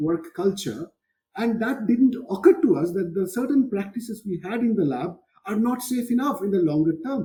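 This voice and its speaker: Speaking at a moderate pace with a Bengali accent, the man has a high pitch and a dark, mellow tone. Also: lively intonation. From India, Kolkata (Bengal). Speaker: physics professor. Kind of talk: interview conversation.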